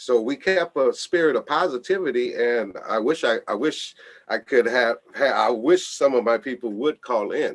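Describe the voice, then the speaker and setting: A man with a normal speaking voice at medium pitch, ordinary pitch variation and a moderate pace, in a dry, close sound with no echo. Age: 60s. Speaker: foundation founder, radio show guest. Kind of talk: radio interview.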